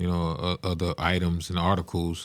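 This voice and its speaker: A man with a South Carolina accent, very deep and low in pitch, monotone and flat, at a fairly quick pace. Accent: Southern US, South Carolina. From South Carolina, rural Lowcountry (Estill). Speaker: music studio owner and entrepreneur. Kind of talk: podcast interview.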